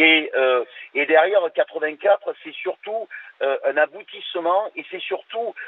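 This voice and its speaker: Talking at a fairly slow pace, this man's loudness rises and falls in big swings. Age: 60s. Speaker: caller. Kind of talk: radio call-in discussion. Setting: phone call. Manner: hesitant, many fillers.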